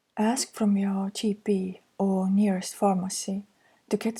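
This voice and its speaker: A woman speaks in an Estonian accent, her tone dark, mellow and somewhat breathy, with monotone, flat intonation. The recording is very clean, dry and close, with no echo and a silent background. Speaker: counselor. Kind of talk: reading slides aloud.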